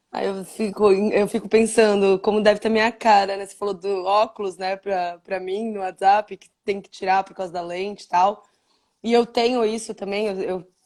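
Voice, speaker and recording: With big swings in loudness, a woman of medium pitch speaks at a moderate pace in a monotone, flat intonation. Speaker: live stream interviewer. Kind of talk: casual interview chat. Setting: live video stream.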